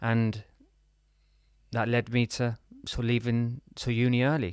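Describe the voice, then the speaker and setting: At a fairly slow pace, a man with a British accent speaks in medium pitch with monotone, flat intonation. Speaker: business and lifestyle coach. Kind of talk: podcast interview. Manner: halting, repeats words.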